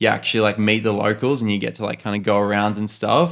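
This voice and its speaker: On a very clean recording with a silent background, a man speaks at medium pitch with fairly even intonation and an Australian accent. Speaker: podcast co-host, photographer. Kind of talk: casual chat.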